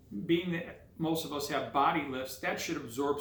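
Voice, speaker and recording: Audible room echo surrounds the recording. Within it a man talks at a moderate pace. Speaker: car hobbyist video maker. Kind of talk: tutorial. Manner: casual, hesitant with filler words.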